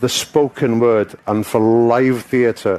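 A man with a Welsh accent talks in a flat monotone. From Wales. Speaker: actor. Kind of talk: interview answer. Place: stage. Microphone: headset.

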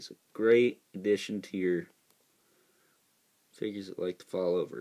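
The man talks at a moderate pace. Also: quiet background. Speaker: toy reviewer. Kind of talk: casual review commentary. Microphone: phone near.

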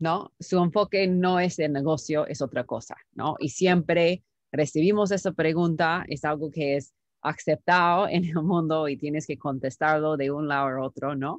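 Against a quiet background, a woman with an English accent speaks in a very deep, low voice with fairly even intonation, the sound dry with no echo. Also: fairly slow pace. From United States. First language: English (speaking Spanish). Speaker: startup founder and CEO; interview guest. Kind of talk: interview; interview answer. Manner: halting, many fillers. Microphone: video call.

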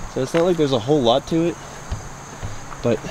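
A man talks at a fairly quick pace with fairly even intonation. The sound is dry with no echo, though there is noticeable background noise. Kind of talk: casual vlog chat. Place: open country. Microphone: phone near.

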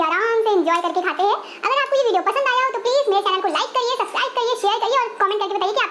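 A raised, projected voice races along at a very fast pace with hardly any pauses and ordinary pitch variation over noticeable background noise. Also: woman. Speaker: cooking vlogger. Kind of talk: casual vlog chat. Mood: playful, excited. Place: kitchen. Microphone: lapel.

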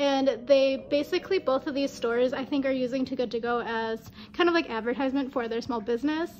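A woman talks at a fairly quick pace with a high pitch and ordinary pitch variation. Clear music plays in the background. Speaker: travel vlogger. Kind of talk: casual vlog chat. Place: home room.

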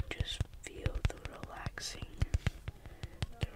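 A man whispering. Background noise is noticeable. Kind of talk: ASMR whispering. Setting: in a car, background noise. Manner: whispered, soft-spoken; slow.

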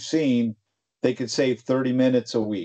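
This man's tone is dark and mellow. He speaks at a moderate pace. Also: quiet background. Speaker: tech company presenter and podcast co-host. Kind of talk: casual chat. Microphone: video call.

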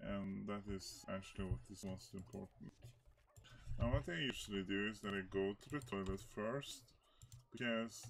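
With light background noise behind him, a man talks at a moderate pace in a very deep, low voice. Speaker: speedrunner. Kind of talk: gameplay commentary. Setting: faulty microphone. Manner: hesitant, many filler words. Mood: relaxed, a bit hesitant. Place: home room.

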